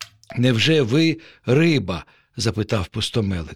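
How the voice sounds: A natural reading voice delivers the text with lively intonation.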